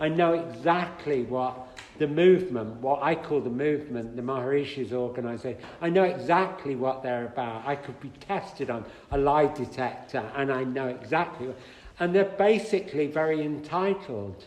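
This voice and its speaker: Audible room echo and noticeable background noise surround a man with an English accent who speaks at a moderate pace, his fairly high pitch varying in an ordinary way. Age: 70s. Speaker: speaker on spiritual teachers. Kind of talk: talk to an audience, conversational. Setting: hall with audience. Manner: animated.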